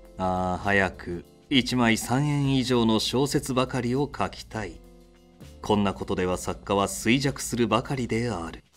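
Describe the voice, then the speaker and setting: Over music in the background, a man talks at a fairly slow pace in a medium pitch with ordinary pitch variation. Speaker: voice actor. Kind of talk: audiobook-style literary reading.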